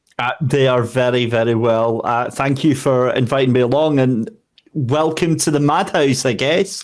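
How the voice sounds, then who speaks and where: The voice moves at a moderate pace with ordinary pitch variation and very even loudness. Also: man, medium pitch for a man. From Scotland. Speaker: sim racing commentator. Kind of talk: interview answer.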